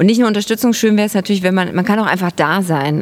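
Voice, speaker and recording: The pitch varies in an ordinary way in this unremarkable speaking voice. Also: woman. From Saxony, near Chemnitz. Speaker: theatre maker. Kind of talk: interview. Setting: outdoors, market square.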